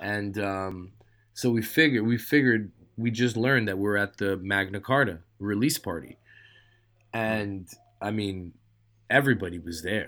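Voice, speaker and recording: On a very clean recording with a silent background, a man in a New York accent speaks at a fairly low pitch and a moderate pace. He leaves long, frequent pauses, and his pitch varies an ordinary amount. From New York, Queens. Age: 40s. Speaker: street artist. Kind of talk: casual chat.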